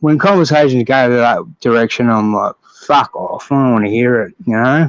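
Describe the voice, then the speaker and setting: Using lively intonation, a man with an Australian accent speaks at a moderate pace. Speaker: boxing fan. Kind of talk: casual chat.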